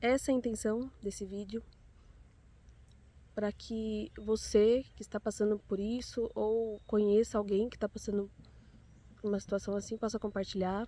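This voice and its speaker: Her voice, a woman's, is fairly high in pitch with a dark, mellow tone and monotone, flat intonation, moving at a moderate pace with long, frequent pauses. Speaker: mother sharing personal story. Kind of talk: personal testimony.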